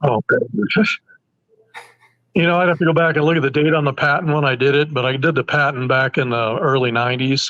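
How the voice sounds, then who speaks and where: A man with an ordinary speaking voice, fairly high in pitch, at a fairly quick pace, with ordinary pitch variation and very even loudness. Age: 60s. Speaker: broadhead engineer and bowhunter. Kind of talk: casual interview chat.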